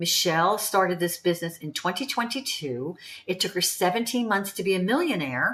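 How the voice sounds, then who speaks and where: A woman speaks at a medium pitch and a moderate pace. Her pitch swings very widely. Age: 70s. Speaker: online business promoter. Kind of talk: sales pitch. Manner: casual, chatty.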